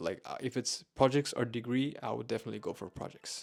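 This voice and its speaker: With music in the background, a man mumbles at a fairly quick pace. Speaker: software engineer and YouTuber. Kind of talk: tutorial. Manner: halting, with self-corrections; mumbling.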